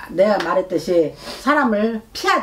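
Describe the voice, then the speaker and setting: A woman is speaking. Her intonation is lively. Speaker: fortune teller. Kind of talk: fortune-telling reading. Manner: loud; animated. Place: home room. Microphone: camera far.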